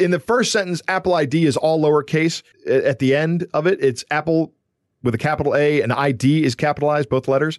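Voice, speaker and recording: This man has an ordinary speaking voice, fairly high in pitch, with ordinary pitch variation and very even loudness. He talks at a fairly quick pace, and the sound is dry and close with no echo. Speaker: podcast co-host and security expert. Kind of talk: casual chat.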